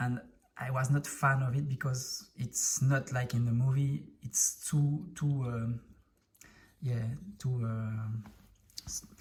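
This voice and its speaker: A man with a French accent at a medium pitch, somewhat breathy, at a very slow pace with long, frequent pauses. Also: fairly even intonation. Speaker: Lego hobbyist video creator. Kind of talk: show-and-tell tutorial. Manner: halting, many fillers.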